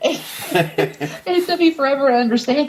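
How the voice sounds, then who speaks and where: Over noticeable background noise, a woman with a Southern accent speaks at a high pitch. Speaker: musician guest. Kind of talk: casual interview chat.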